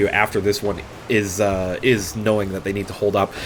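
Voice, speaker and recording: Noticeable background noise is present. Over it, a man speaks at a fairly low pitch. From Canada. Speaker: esports caster. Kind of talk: live commentary. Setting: live stream. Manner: animated.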